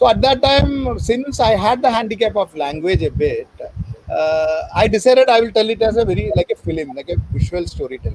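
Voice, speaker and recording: At a fairly quick pace, a man with a Keralan accent talks over noticeable background noise. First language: Malayalam. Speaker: author. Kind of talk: interview.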